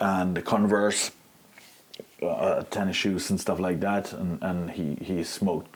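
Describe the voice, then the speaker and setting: The speaker has a slight non-native accent. Noticeable background noise can be heard. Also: man. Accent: slight foreign. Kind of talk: interview answer.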